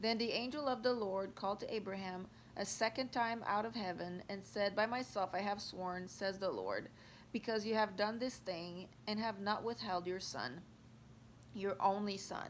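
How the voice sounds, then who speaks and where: Her pace is moderate and her pitch is medium. This woman's pitch varies in an ordinary way. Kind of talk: Bible reading. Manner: careful, sometimes halting.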